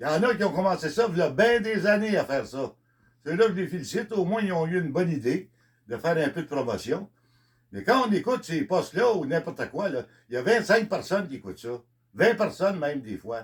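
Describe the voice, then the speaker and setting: Talking at a fairly quick pace in a Quebec accent, a man uses a high pitch with very wide pitch swings. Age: 70s. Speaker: country singer. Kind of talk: monologue. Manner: halting.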